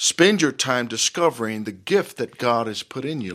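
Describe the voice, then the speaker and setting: A man with an American accent talks at a moderate pace in an ordinary speaking voice with medium pitch. The recording is very clean, with a silent background. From Dallas, Texas (Oak Cliff). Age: 50s. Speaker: pastor. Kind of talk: interview.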